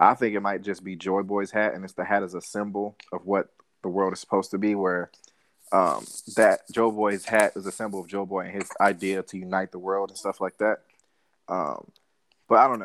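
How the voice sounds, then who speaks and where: Recorded dry and close with no echo, the voice stays in a flat monotone while its loudness swings widely. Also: man, fairly low pitch for a man. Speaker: podcast co-host. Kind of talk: casual banter podcast.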